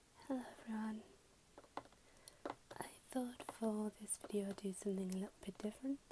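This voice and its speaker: Someone whispers softly at a fairly quick pace, with long, frequent pauses. Noticeable background noise sits behind the voice. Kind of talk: ASMR unboxing, casual talk to camera. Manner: soft-spoken, whispered.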